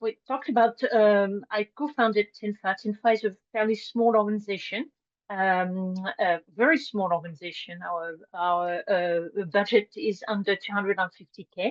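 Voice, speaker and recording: A woman's medium-pitched speech at a fairly slow pace, with ordinary pitch variation. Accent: French. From France, Brittany. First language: French. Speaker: nonprofit co-founder. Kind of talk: presentation. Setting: video call. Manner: halting, many fillers.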